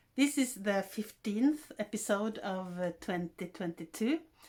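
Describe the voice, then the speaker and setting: Lively intonation from a fairly high-pitched woman with a Norwegian accent, in a very clean recording with a silent background. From Norway. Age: 60s. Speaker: podcaster. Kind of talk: casual monologue. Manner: halting.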